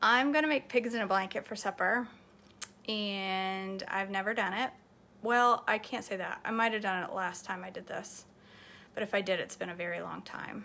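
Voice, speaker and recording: A woman speaks at a moderate pace with ordinary pitch variation. Her tone is bright and sharp. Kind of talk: casual vlog chat. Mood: relaxed, self-deprecating. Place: kitchen. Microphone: phone near.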